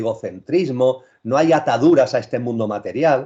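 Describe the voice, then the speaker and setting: A man speaks at a fairly slow pace. His voice is medium in pitch with a dark, mellow tone. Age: 60s. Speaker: spiritual speaker. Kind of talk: interview.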